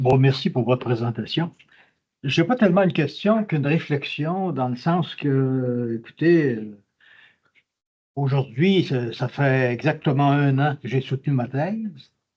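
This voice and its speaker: A man's somewhat breathy voice, fairly high in pitch, at a fairly slow pace with ordinary pitch variation. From Quebec. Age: 80s+. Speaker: audience member, retired doctoral graduate. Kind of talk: audience question at lecture. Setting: conference hall. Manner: halting.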